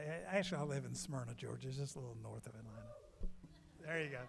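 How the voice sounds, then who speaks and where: Somewhat breathy and fairly high-pitched, a man's voice carries audible room echo. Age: 70s. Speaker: singer-songwriter. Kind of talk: storytelling between songs. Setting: stage with audience.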